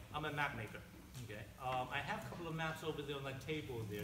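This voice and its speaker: Very fast speech with an American accent and ordinary pitch variation comes with audible room echo and noticeable background noise. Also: man. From Taiwan, then Maryland from age eight. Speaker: map maker and political candidate. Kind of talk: campaign speech. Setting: candidate forum with audience. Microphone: held too far from mouth.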